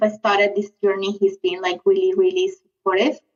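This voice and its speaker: A woman speaks in a South American accent with lively intonation. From Venezuela. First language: Spanish. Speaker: lettering artist. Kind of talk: podcast interview. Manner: hesitant, many fillers.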